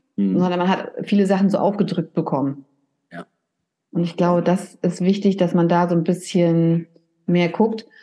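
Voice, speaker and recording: The tone is calm, dark, and mellow. The pace is moderate. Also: woman. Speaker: hairdresser and salon owner. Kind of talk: casual interview. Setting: video call from her salon.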